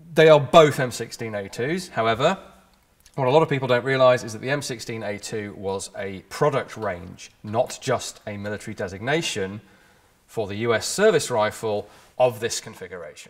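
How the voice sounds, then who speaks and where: Big swings in loudness at a moderate pace. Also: man. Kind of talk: explainer presentation. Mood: relaxed, lightly amused.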